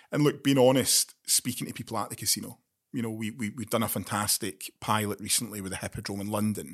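The speaker has a Glaswegian accent and a fairly quick pace. The recording is very clean, with a silent background. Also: man. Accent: Glaswegian Scottish. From Scotland, Glasgow. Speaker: military veteran and gambling harm charity trustee. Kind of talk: interview.

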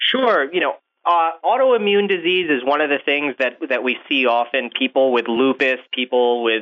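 An unremarkable speaking voice: a man with an American accent talks at a moderate pace, medium in pitch with ordinary pitch variation. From upstate New York. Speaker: physician, kidney specialist. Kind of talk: interview.

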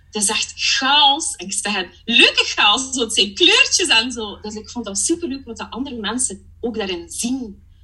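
A woman's high, animated voice with lively intonation, big swings in loudness, a moderate pace, hardly any pauses and noticeable background noise. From Belgium (Flanders), partly Germany. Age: 30s. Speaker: part-time coach. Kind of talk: casual interview chat. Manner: animated, laughs often.

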